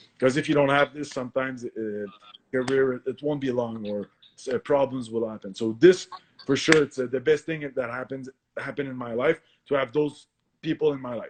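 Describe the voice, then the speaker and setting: In a Quebec accent, a man talks at a fairly quick pace and medium pitch, with fairly even intonation, big swings in loudness, and a dry, close sound with no echo. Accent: French-Canadian accent in English. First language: French. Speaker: professional MMA fighter. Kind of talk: podcast interview. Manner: halting, many fillers and self-corrections.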